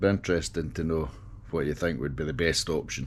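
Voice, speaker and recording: A man speaks with a Scottish accent. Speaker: motorcycle vlogger. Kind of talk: casual vlog. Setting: on a motorcycle, helmet camera. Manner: hesitant, with fillers.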